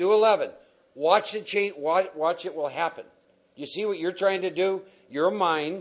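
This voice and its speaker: With an American accent, the speaker talks at a moderate pace with ordinary pitch variation against a quiet background. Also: man. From Texas. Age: 60s. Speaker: recovery speaker. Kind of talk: Q&A talk at a recovery meeting. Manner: animated; direct, no-nonsense.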